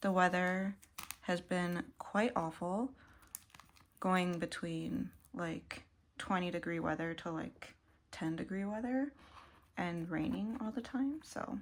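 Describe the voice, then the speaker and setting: Long, frequent pauses break up a woman's very slow speech at a medium pitch. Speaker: kpop collector vlogger. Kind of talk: casual chat. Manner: casual, filler-heavy.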